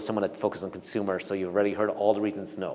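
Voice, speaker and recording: A man talks over noticeable background noise. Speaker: venture capital investor. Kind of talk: talk with Q&A to audience. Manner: fast; halting with many restarts.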